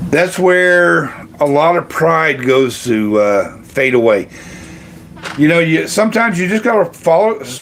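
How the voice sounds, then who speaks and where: A man speaking at a moderate pace. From Kentucky, US. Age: 60s. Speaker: retiree livestream host. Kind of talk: casual livestream chat reading comments. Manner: halting, many fillers.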